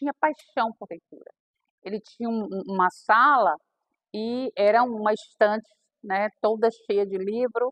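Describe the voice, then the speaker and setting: A woman speaks fairly slowly in a plain, everyday voice, her fairly high pitch moving with ordinary variation. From Bahia sertão, northeastern Brazil. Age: 60s. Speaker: aspiring author. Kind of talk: personal testimony at a reading circle.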